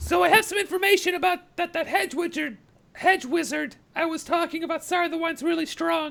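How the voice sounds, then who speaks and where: A man puts on a squeaky character voice at an extremely high pitch. He talks at a fairly quick pace. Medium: actual play. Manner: blunt, condescending.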